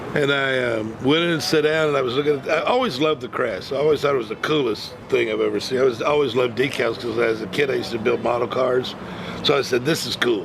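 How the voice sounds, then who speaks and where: Very fast speech with ordinary pitch variation over noticeable background noise. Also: man, medium pitch for a man. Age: 60s. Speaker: martial artist and motivational speaker. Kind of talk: interview. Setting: martial arts event.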